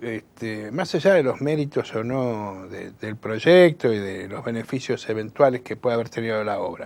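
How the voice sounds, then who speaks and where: Delivered at a moderate pace with hardly any pauses, the speech has lively intonation and big swings in loudness. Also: man, medium pitch for a man. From Buenos Aires, Argentina. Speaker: political activist and communicator. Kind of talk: interview. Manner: halting, many fillers.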